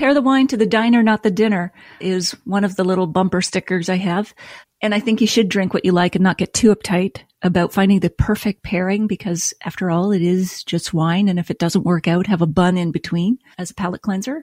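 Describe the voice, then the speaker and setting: A woman with a Canadian accent speaks at a fairly quick pace in an ordinary speaking voice, medium in pitch with ordinary pitch variation. The recording is very clean, with a silent background, and sounds dry and close, with no echo. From Nova Scotia, Canada. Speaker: wine writer and podcast host. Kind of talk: casual interview chat.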